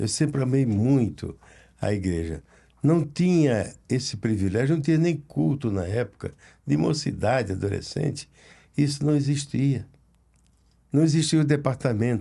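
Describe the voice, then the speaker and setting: A man's somewhat breathy, dark and mellow voice at a medium pitch, with lively intonation, a fairly slow pace, and long, frequent pauses. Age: 80s+. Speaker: pastor. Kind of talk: casual chat.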